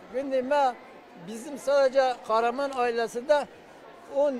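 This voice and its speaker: Crowd noise sits behind a man with an extremely high pitch who speaks at a fairly slow pace with fairly even intonation. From southeastern Turkey, Adıyaman region. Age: 60s. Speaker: former village headman, earthquake survivor. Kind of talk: street interview. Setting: sports hall shelter.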